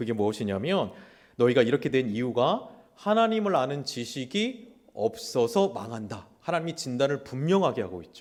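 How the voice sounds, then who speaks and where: A man talks at a moderate pace in an animated tone with a medium pitch. His pitch swings very widely, and his loudness swings a lot too. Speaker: pastor. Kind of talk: sermon. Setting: church.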